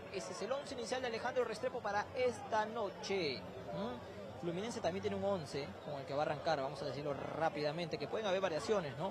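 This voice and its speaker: Animated and very fast with hardly any pauses, the speech has a dry sound with no echo and crowd noise in the background. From Peru. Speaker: sports reporter. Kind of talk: live street reporting and fan interviews. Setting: outdoors outside a stadium among fans. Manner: fast, animated. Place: street. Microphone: handheld.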